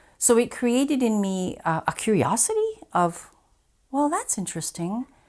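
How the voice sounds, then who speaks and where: A woman with a Canadian accent speaks at a fairly high pitch, her voice swinging very widely up and down. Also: moderate pace. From northern Ontario, Canada. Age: 60s. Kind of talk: personal testimony.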